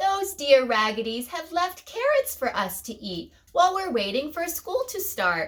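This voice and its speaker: Putting on a character voice at an extremely high pitch, a woman talks with hardly any pauses. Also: moderate pace. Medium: read story.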